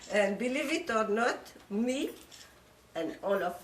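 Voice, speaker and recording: With a strong French accent, a woman speaks at a very slow pace with lively intonation, amid audible room echo and noticeable background noise. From Morocco, Casablanca. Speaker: speaker on her life story. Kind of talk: informal talk to a group. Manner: halting, many fillers.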